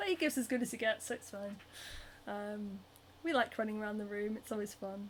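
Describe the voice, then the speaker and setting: A woman speaks with a Northern English accent. Her pitch is fairly high and her voice somewhat breathy. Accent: Northern British. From Scotland, Edinburgh. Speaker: cosplayer and craft livestreamer. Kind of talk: casual chat. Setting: solo livestream. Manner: animated.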